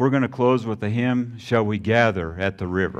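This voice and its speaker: A man speaks at a fairly slow pace and a fairly low pitch, with ordinary pitch variation, against a quiet background. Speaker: preacher. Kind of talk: sermon. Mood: lighthearted, smiling. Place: church. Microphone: headset.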